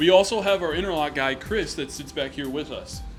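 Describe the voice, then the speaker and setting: A man talks at a fairly quick pace, his pitch fairly high. Music plays in the background. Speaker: auto shop staff giving tour. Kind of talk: guided walkthrough tour. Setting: walking through auto shop. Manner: loud, raised voice.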